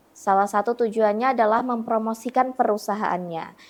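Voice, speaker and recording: A woman with a plain, everyday voice speaks at a moderate pace, fairly high in pitch with ordinary pitch variation, over a quiet background. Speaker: radio announcer. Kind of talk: interview answer.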